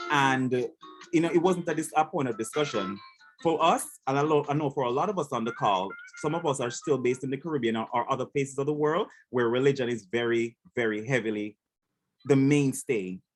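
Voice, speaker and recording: A man with a Jamaican accent speaks at a fairly quick pace, using a medium pitch and ordinary pitch variation. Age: young. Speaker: panel moderator. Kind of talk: moderated panel discussion. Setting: video call.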